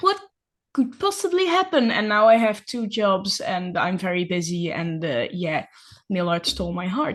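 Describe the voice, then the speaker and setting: Over a quiet background, a woman speaks at medium pitch. Her intonation is lively and her pace moderate. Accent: Dutch. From Netherlands. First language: Dutch. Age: 20s. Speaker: nail artist and ceramist. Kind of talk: casual interview chat. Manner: hesitant, many fillers.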